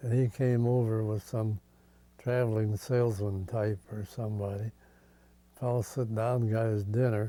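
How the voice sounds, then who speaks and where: A man speaks in a dark, mellow tone. His intonation stays monotone and flat. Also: medium pitch for a man, moderate pace. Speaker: former sound car man and radio announcer for a touring show. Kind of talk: oral history interview.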